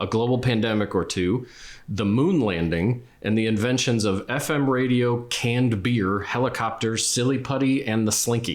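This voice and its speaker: A man with a plain, everyday voice speaks at a moderate pace and medium pitch, with ordinary pitch variation, very even loudness and hardly any pauses, in a very clean recording with a silent background. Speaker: family interviewer. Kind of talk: documentary intro narration.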